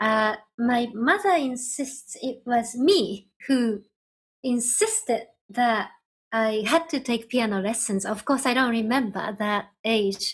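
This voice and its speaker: A woman speaks very slowly in a high voice with ordinary pitch variation, recorded very cleanly against a silent background. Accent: Japanese. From Japan, Nagano. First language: Japanese. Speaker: ambient electronic musician. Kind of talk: interview. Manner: halting.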